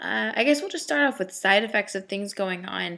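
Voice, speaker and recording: Her bright, sharp tone rides very wide pitch swings as the woman speaks. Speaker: vlogger. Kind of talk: personal video diary. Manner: rambling, hesitant.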